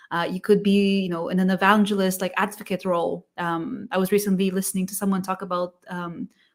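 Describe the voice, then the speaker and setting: A woman with a non-native accent speaks at a medium pitch and a fairly quick pace, with hardly any pauses. Her intonation is monotone and flat, her loudness swings widely, and the recording is very clean with a silent background. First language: not English. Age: 40s. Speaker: sales engineering livestream co-host. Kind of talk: casual interview chat. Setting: live stream.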